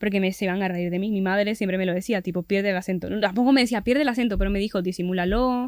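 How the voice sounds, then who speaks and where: A woman talks at a very fast pace. Her medium-pitched voice keeps fairly even intonation. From Venezuela. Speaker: podcast guest. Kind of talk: casual chat.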